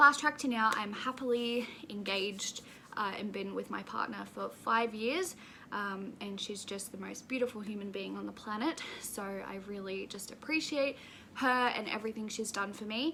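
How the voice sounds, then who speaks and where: A woman with an Australian accent speaks at fairly high pitch and a moderate pace, with ordinary pitch variation. Her loudness swings widely, and noticeable background noise is present. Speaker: YouTuber. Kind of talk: casual vlog talk to camera.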